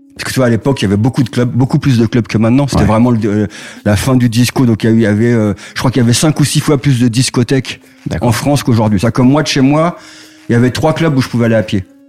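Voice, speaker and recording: Against noticeable background noise, a man speaks very fast at a medium pitch with very even loudness. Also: ordinary pitch variation. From Paris suburbs, Val-de-Marne. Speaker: music marketing executive. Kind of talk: casual interview.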